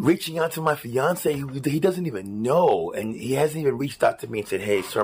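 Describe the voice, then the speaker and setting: This man speaks at a fairly quick pace with lively intonation. His pitch is fairly high, with vocal fry. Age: 40s. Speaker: podcaster telling personal story. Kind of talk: personal testimony monologue.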